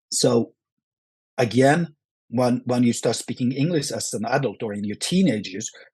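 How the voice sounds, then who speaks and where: At a moderate pace, a man with a Norwegian accent talks at a medium pitch with ordinary pitch variation. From Norway. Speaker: action film actor. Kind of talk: podcast interview. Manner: halting, many repetitions.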